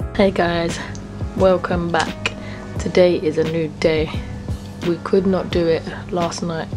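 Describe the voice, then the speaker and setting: Over clear music in the background, a woman speaks at a fairly slow pace in a fairly low pitch. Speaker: vlogger. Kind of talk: casual vlog chat. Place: home room. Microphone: phone near.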